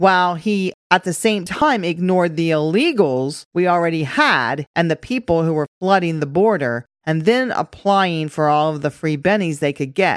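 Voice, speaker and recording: With an unremarkable speaking voice, a woman talks at a fairly low pitch and a moderate pace, using ordinary pitch variation and hardly any pauses, in a very clean recording with a silent background. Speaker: podcast host. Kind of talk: scripted-style political commentary podcast. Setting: studio with new microphone setup. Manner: bantering, joking.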